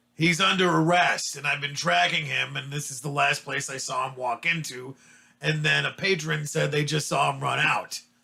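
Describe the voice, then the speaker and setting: A man's raspy, put-on character voice, fairly high in pitch, with ordinary pitch variation and a moderate pace. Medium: actual play. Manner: brusque, threatening.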